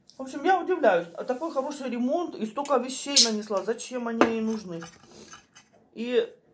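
Loud background noise fills the clip. A woman speaks through it at a moderate pace. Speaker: home vlogger. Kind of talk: casual vlog chat. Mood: relaxed, chatty. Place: kitchen. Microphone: phone near.

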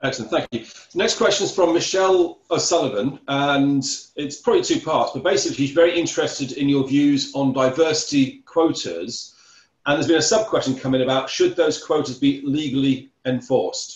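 A man's fairly high voice, somewhat breathy, at a fairly quick pace with ordinary pitch variation and audible room echo. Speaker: Q&A moderator. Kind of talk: reading audience questions. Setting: video call. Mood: polite, appreciative. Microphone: video call.

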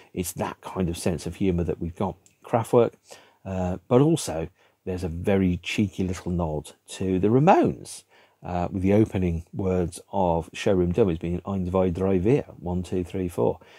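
Over a quiet background, a man with a British accent speaks in a dark, mellow tone at a very deep, low pitch, with ordinary pitch variation and a dry sound with no echo. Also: moderate pace. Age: 50s. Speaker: music video blogger. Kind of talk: solo monologue to camera about a record album. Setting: home room with record shelves behind. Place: home room. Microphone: webcam.

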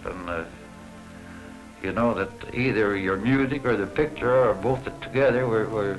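Clear music plays in the background. A man talks with ordinary pitch variation. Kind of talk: interview answer, reminiscing. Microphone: old recording.

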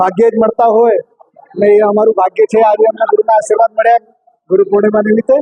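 A man's high-pitched voice stays in a monotone, flat intonation. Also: very even loudness. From Gujarat, Kutch village. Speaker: retired air force officer, temple devotee. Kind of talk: interview statement.

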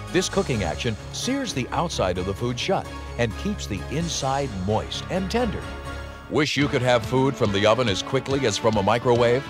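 Over music in the background, a man speaks at a moderate pace and medium pitch, his voice making very wide pitch swings. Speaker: announcer. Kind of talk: infomercial voice-over narration.

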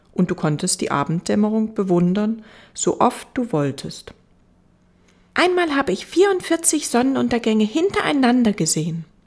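With a fairly high pitch that swings very widely, a woman speaks in a gentle, soothing, somewhat breathy tone. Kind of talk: audiobook reading aloud, bedtime story narration. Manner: slow, soft, gentle and soothing; wistful, melancholic storytelling tone.

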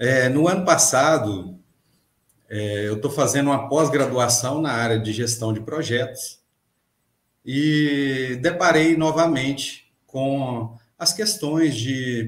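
Very slow pace, ordinary pitch variation and audible room echo. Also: man. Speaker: podcast guest, mechanics teacher. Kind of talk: interview answer. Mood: friendly, smiling. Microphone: webcam.

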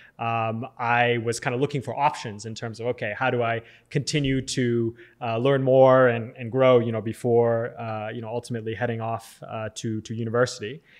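Against a quiet background, a man with a Californian accent talks in a monotone, flat intonation. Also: moderate pace. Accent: American (Californian). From Southern California, US. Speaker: tech company founder and CEO; podcast guest. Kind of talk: interview. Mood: calm, thoughtful. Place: studio. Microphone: studio mic.

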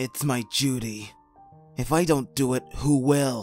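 A man at a medium pitch does a put-on character voice at a fairly slow pace with faint music in the background. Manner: guarded, serious.

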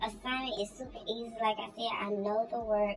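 Over noticeable background noise, a woman speaks at a moderate pace. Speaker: college student vlogger. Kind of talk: casual vlog chat. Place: home room. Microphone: phone near.

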